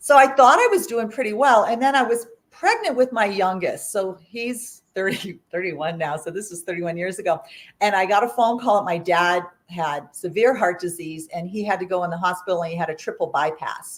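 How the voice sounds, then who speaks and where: Using a plain, everyday voice, a woman speaks at a medium pitch and a fairly quick pace with lively intonation and big swings in loudness. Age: 60s. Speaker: artist, author and plant-based chef. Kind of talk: interview storytelling. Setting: livestreamed interview. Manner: conversational with fillers.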